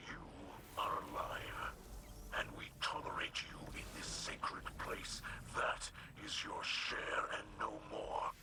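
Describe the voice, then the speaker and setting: A man whispers in a put-on character voice at a fairly slow pace. Long, frequent pauses break it up against loud background noise. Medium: video game. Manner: solemn.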